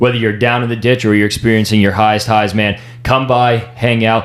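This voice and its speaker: Noticeable background noise sits behind a man talking at a fairly quick pace. His medium-pitched voice is monotone and flat. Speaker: podcast host. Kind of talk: casual chat.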